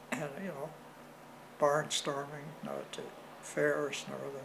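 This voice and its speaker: A fairly high-pitched man with a Canadian accent, at a fairly slow pace, over noticeable background noise. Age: 80s+. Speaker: World War II veteran. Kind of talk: interview answer.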